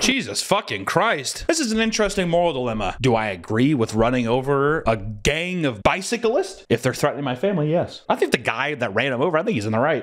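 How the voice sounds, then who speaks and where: A man rushes along at a very fast pace with very wide pitch swings and hardly any pauses. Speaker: streamer reacting to videos. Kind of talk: casual reaction commentary. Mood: incredulous, joking, profane. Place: home room. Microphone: studio mic.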